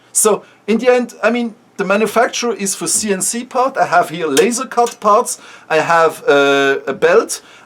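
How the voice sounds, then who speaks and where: This man speaks with a Swiss German accent at a moderate pace. His voice sits high in pitch with lively intonation. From Switzerland (German-speaking). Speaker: startup founder. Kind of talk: casual vlog talk. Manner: halting, with repeated words.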